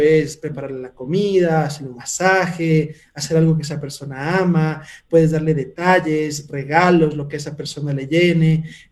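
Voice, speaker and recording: There is audible room echo around a man who speaks with a fairly high pitch and fairly even intonation. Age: 30s. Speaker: entrepreneur and mentor. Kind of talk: interview. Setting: video call.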